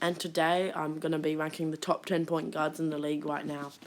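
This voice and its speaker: In a flat monotone, a woman with a fairly low voice talks at a fairly quick pace. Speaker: basketball YouTuber. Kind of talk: casual commentary video.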